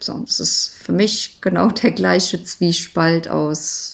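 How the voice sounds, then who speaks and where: A woman talks with a fairly low-pitched voice. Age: 40s. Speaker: mother sharing lockdown family experience. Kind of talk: personal monologue testimony. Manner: casual, conversational.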